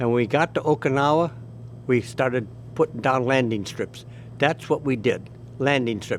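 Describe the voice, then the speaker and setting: Vocal fry marks a man's medium-pitched voice. He leaves long, frequent pauses and keeps a fairly even intonation. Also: moderate pace. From US Midwest, Elmhurst, Illinois. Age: 90s. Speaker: war veteran. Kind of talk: oral history interview. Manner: halting, with many restarts.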